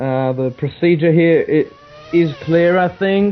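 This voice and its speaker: The speaker has a non-native accent and fairly even intonation. Music plays in the background. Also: man. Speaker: sim racing commentator. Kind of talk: live commentary. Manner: halting.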